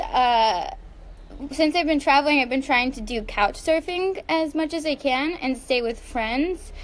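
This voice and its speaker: This woman has a high pitch and an American accent, with ordinary pitch variation. She talks at a very slow pace. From United States. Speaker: online content creator and model. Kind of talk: casual live stream chat. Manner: casual, filler-heavy.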